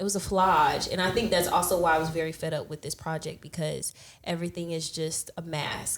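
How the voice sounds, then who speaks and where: The speaker has an American accent and a moderate pace, with monotone, flat intonation. There are hardly any pauses, and background noise is noticeable. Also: woman. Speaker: music podcast guest. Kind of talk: casual chat.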